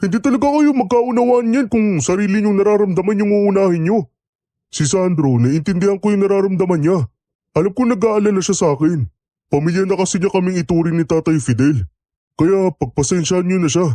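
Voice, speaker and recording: Using a put-on character voice, a man talks fairly quickly at a high pitch with lively intonation, the sound dry and close with no echo. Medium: audio drama.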